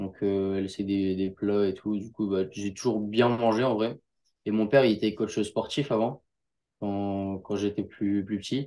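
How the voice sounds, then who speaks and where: A man's fairly low voice at a fairly slow pace, with fairly even intonation, on a very clean recording with a silent background. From northern France, near Lille. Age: young. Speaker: jiu-jitsu athlete. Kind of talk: interview. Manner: casual, hesitant.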